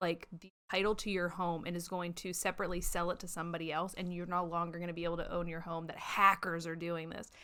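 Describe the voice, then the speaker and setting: A woman speaks loudly at a fairly low pitch, in a bright, sharp tone. Her pace is very fast and her intonation monotone and flat. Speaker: podcast host. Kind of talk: casual chat.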